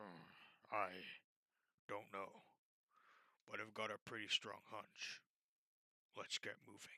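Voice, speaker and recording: Using a put-on character voice, a man sounds raspy and fairly low-pitched at a fairly slow pace. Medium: read story. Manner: blunt, terse.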